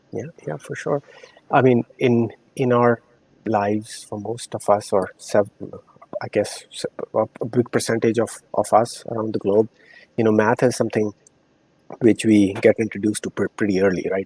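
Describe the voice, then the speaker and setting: Moderately paced speech from a man with an Indian accent, fairly even intonation and long, frequent pauses, in a dry, close sound with no echo. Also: medium pitch for a man. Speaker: corporate strategy professional. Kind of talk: podcast interview. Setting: live-streamed show.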